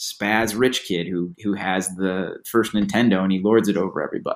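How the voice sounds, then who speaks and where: A man's normal speaking voice with an American accent, fairly low in pitch, at a moderate pace with fairly even intonation. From US Midwest, Batavia, Illinois (Chicago suburb). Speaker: author and screenwriter. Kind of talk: interview.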